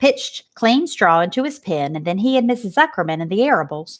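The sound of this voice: An unforced reading voice is heard here.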